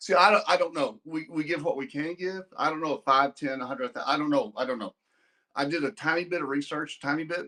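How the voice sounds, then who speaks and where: Fairly high in pitch, a man talks with a Texas accent. His pace is fairly quick, and his pitch variation is ordinary. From Texas (Amarillo). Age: 60s. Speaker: donor and businessman. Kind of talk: casual chat. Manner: halting, repeating words; blunt, abrupt.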